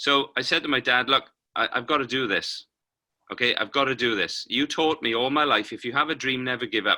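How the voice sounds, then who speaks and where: Medium-pitched with a bright, sharp tone, a man speaks in a Welsh accent at a fairly quick pace. His intonation is fairly even, and the recording is very clean with a silent background. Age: 50s. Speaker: paralympic cyclist and motivational speaker. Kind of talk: interview.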